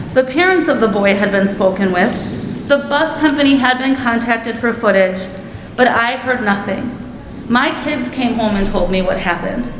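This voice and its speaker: A high-pitched woman with ordinary pitch variation at a moderate pace, with audible room echo and noticeable background noise. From Germantown area, US; moved there in childhood. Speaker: parent speaking at public comment. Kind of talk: public comment at board meeting. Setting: school board meeting. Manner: formal, prepared statement.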